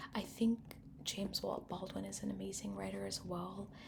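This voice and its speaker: A soft-spoken woman talks at a moderate pace. Noticeable background noise sits behind her. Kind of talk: ASMR librarian roleplay. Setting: library roleplay with rain background noise.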